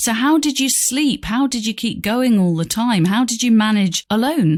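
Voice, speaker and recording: With an unremarkable speaking voice, a woman talks at a moderate pace in a fairly high pitch with lively intonation. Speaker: journalist, podcast host. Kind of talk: podcast interview host.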